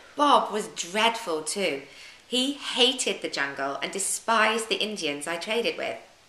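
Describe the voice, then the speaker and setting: With a British accent, a woman talks at a fairly slow pace, her pitch swinging very widely. Noticeable background noise can be heard. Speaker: yoga teacher. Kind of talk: audiobook reading of travel memoir.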